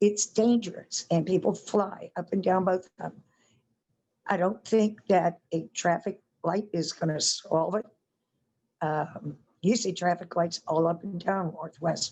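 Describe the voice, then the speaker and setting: At a fairly slow pace, a woman speaks with a somewhat breathy voice, medium pitch and fairly even intonation. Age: 60s. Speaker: resident speaking at public meeting. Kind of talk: public comment at community meeting.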